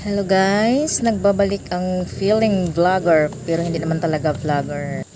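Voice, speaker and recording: The speech moves at a fairly slow pace with hardly any pauses and ordinary pitch variation. Noticeable background noise and audible room echo fill the recording. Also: woman, medium pitch for a woman. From Visayas, Philippines. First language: Cebuano (speaking Tagalog). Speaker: travel vlogger. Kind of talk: vlog voice-over. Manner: casual, chatty.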